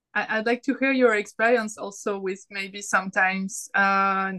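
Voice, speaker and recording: A woman with a French accent at a moderate pace, her intonation flat and monotone, against a quiet background. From France. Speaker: artist and self-published author. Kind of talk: casual chat.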